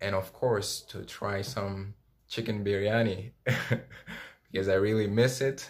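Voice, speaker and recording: A man with a French accent at a fairly low pitch and fairly slow pace, on a very clean recording with a silent background. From Democratic Republic of Congo. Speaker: former international student. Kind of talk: interview answers.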